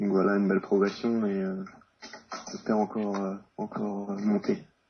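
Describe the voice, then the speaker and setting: With an Alsatian accent, a man speaks at a fairly slow pace. His voice is fairly low and his intonation monotone and flat. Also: long, frequent pauses. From Alsace, France (Mulhouse). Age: 20s. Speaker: racing driver. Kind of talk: interview. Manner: hesitant, many fillers.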